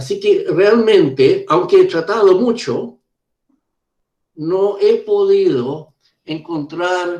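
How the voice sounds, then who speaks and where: A man speaking very slowly, with ordinary pitch variation. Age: 70s. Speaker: professor, conference speaker. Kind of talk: conference Q&A answer. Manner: halting, with many hesitations and repeats.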